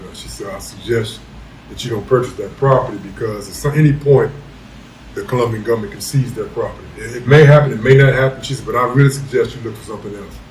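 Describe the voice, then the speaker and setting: Amid audible room echo, a man of medium pitch speaks at a very fast pace with ordinary pitch variation and big swings in loudness. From Virginia, US. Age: 60s. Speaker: retired military expat. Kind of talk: interview.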